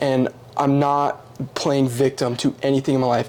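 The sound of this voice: A man talks at a fairly quick pace with little pitch movement. His tone is slightly mellow.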